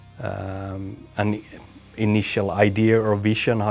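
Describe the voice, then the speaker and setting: A man's fairly low voice with fairly even intonation, music in the background. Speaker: death metal musician. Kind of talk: interview. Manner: halting.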